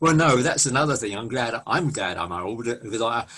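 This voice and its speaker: This man speaks with a southern English accent. His pitch variation is ordinary. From southeast London, England. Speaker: music radio host. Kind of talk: interview.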